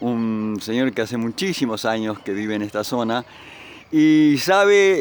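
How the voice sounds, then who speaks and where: With noticeable background noise around him, a man uses lively intonation at a medium pitch. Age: 70s. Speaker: interviewer. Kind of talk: interview.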